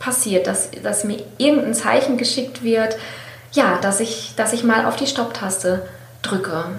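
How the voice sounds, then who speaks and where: Heard through noticeable background noise and audible room echo, the voice shows ordinary pitch variation. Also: woman. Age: 40s. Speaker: author and copywriter, former marketing professional. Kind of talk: interview testimony.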